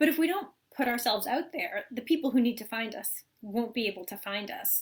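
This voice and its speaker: Her voice high and her intonation lively, a woman talks fairly quickly with big swings in loudness. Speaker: spiritual teacher and author. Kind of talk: live talk to online group. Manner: fast.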